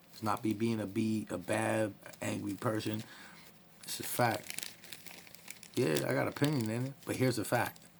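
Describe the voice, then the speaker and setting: A man talks at a moderate pace with a fairly low pitch and ordinary pitch variation. Noticeable background noise is present. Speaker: vlogger telling personal story. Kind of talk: casual personal story vlog. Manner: loud.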